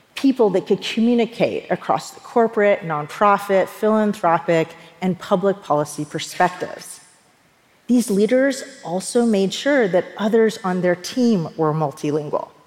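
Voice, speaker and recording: A woman of medium pitch speaks with lively intonation and big swings in loudness, against noticeable background noise. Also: moderate pace. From US South, rural East Tennessee. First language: Persian. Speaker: leadership speaker. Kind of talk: talk to an audience.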